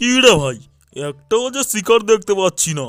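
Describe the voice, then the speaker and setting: A man's high-pitched, cartoonish character voice at a moderate pace, with faint music in the background. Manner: loud, gruff.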